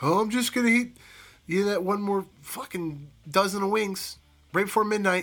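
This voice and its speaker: With a Western Pennsylvania accent, a man speaks at a moderate pace in a high pitch with ordinary pitch variation. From Pittsburgh, Pennsylvania. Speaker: podcast host. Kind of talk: casual monologue.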